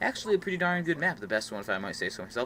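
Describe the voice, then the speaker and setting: A man's pitch leaps across a very wide range. Clearly audible noise sits behind his voice. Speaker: gaming YouTuber. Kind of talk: gameplay commentary. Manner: casual, filler-heavy.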